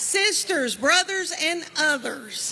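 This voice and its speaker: A woman with a Southern US accent uses a raised, projected voice. Noticeable background noise runs through the clip. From Southern United States. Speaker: comedian. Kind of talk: comedic storytelling. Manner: chatty, folksy.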